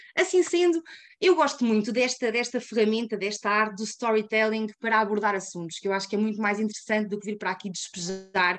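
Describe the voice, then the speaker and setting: A woman speaks very fast with a European Portuguese accent. The background is quiet. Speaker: climate activist. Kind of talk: webinar presentation.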